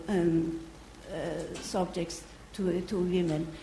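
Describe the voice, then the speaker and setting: Audible room echo and noticeable background noise around a woman talking at a very slow pace. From Iran. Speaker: visiting researcher, audience questioner. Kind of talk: audience question. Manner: halting.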